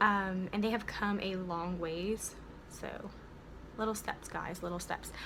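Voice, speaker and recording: Talking at a fairly slow pace, a woman with an American accent is heard with audible room echo and noticeable background noise. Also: medium pitch for a woman. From United States, several states. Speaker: beauty vlogger. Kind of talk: tutorial. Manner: animated.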